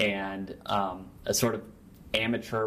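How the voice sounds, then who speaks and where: In an American accent, the voice stays monotone and flat, with audible room echo. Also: man. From Nebraska, US Great Plains. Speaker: journalist and author. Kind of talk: interview.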